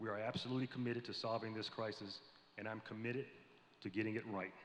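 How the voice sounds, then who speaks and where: Delivery is very fast, in an American accent, with monotone, flat intonation. There is audible room echo. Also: man. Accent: southern US, comes out sometimes. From US South, Tennessee (Columbia). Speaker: navy admiral. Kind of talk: prepared speech to panel audience. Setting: stage with audience at convention. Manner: formal.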